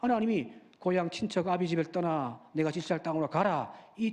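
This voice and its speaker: In a Busan accent, a man speaks at a high pitch against a quiet background. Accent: Busan (Gyeongsang). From Busan, South Korea. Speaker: pastor. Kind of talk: sermon. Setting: church.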